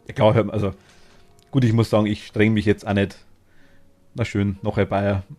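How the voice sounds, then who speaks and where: In a dark, mellow tone and a fairly low voice, a man speaks with monotone, flat intonation and long, frequent pauses. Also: moderate pace. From Bavaria, Upper Palatinate (Oberpfalz). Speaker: video game streamer. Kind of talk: casual live-stream chat while gaming.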